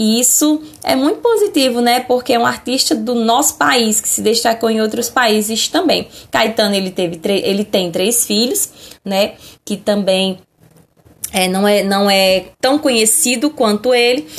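At a fairly slow pace, a woman with a fairly high pitch and ordinary pitch variation keeps her loudness very even in a plain, everyday voice. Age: 30s. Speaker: schoolteacher. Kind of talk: lecture.

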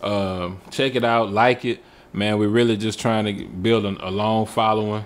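A man is speaking. His pitch sits in the middle range. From Texas, Houston area. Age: 40s. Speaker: podcast co-host. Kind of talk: casual chat.

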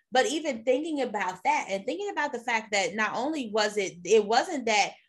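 Somewhat breathy woman, very wide pitch swings, moderate pace, quiet background. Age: 30s. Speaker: podcast host, librarian. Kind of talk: casual chat.

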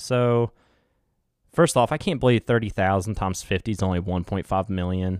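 A man with a West Virginia accent talks at a moderate pace, his fairly low pitch showing ordinary variation. The very clean recording has a silent background and a dry, close sound with no echo. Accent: West Virginia twang. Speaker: podcast host. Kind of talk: casual solo podcast chat.

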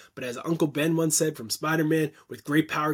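A man talking at a very fast pace with a Canadian accent, in a very clean recording over a silent background. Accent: Canadian, noticeable 'about' vowels. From Canada. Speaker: content marketing expert and agency founder. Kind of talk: casual interview conversation.

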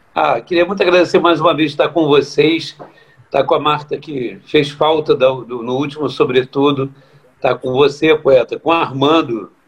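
A man with an unremarkable speaking voice talks at a fairly high pitch. His pace is moderate and his intonation fairly even. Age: 50s. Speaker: samba composer. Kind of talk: casual chat.

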